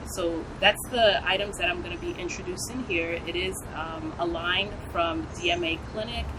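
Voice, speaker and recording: A woman at a medium pitch with an American accent, fairly even intonation and a fairly slow pace, amid audible room echo and noticeable background noise. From US, New York. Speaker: nurse practitioner and skincare business owner. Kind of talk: interview.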